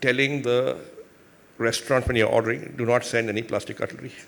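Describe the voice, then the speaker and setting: A man talks at a medium pitch. He speaks with an Indian accent. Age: 60s. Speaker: business executive and investor. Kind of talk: onstage interview.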